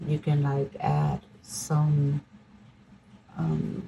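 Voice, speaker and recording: A woman with a very deep, low pitch and very wide pitch swings, at a very slow pace, amid noticeable background noise. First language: not English. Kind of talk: product unboxing review.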